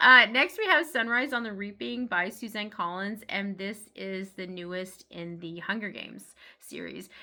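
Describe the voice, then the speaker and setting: On a very clean recording with a silent background, a woman with a medium pitch and a bright, sharp tone talks with lively intonation, big swings in loudness and hardly any pauses. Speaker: book reviewer. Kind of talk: casual chat. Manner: fast; hesitant with fillers.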